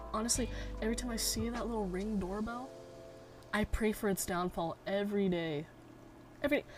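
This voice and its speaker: At a fairly quick pace, a woman talks in a somewhat breathy, fairly high voice with ordinary pitch variation. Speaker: segment host. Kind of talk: casual Q&A segment. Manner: casual, slangy.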